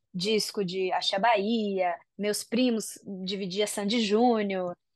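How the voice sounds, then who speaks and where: Recorded with a quiet background, a woman's voice has a dry, close sound with no echo. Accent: Japanese. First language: Japanese (speaking Portuguese). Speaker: singer and voice actress. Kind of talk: interview. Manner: casual, hesitant.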